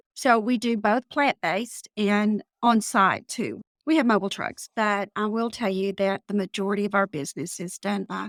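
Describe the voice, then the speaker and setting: A woman with a Texas accent speaks at a moderate pace and medium pitch, with ordinary pitch variation. The recording is very clean with a silent background and a dry, close sound with no echo. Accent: Texas twang. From Texas panhandle. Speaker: business owner. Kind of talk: podcast interview. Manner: casual, conversational.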